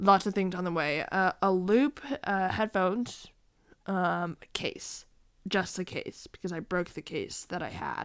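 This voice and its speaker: A woman with a medium pitch talks at a fairly slow pace. The recording is very clean, with a silent background. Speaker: vlogger. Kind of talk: casual vlog monologue. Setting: at home, evening. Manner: hesitant, many fillers.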